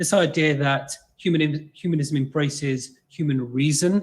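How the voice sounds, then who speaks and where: A man with a fairly high pitch, an English accent and ordinary pitch variation. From England. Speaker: exercise scientist. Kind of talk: lecture. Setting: video call.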